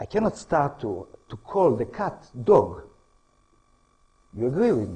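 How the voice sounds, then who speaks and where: With an Israeli accent, a man speaks at a fairly slow pace in a dark, mellow tone, showing vocal fry and very wide pitch swings. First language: Hebrew. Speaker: historian and author. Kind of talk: lecture. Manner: halting, non-native phrasing.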